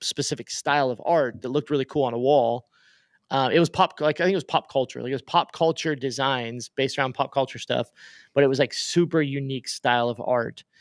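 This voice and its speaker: A man's fairly high voice with ordinary pitch variation at a very fast pace, in a very clean recording with a silent background. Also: dry, close sound with no echo. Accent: Oklahoma. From Oklahoma. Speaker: podcast host. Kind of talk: casual podcast discussion. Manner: casual, many fillers and restarts.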